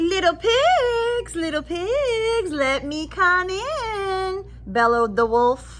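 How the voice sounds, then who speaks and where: A put-on character voice at an extremely high pitch goes at a very slow pace over clear background noise. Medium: read story. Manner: menacing.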